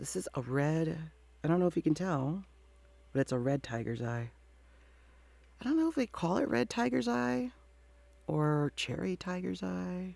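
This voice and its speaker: A woman with a very deep, low pitch speaks at a moderate pace. Her pitch swings very widely, and she takes long, frequent pauses. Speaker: tarot reader. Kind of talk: casual intro to tarot reading. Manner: casual, hesitant with fillers.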